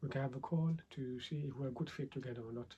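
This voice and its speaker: A man speaks quietly and fairly quickly, his voice dark, mellow and somewhat breathy. His pitch sits fairly high for a man, with fairly even intonation. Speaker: 3D visualization coach. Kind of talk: tutorial. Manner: halting.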